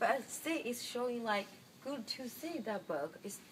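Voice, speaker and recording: Speaking with a Chinese accent, a woman keeps a fairly slow pace. Her fairly high voice has very wide pitch swings. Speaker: student presenter. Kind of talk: class presentation. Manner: halting.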